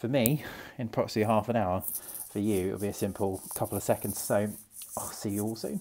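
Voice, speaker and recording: A man talks at a very fast pace. His pitch is fairly low, with fairly even intonation. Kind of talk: casual vlog chat. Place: hall. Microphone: earbuds.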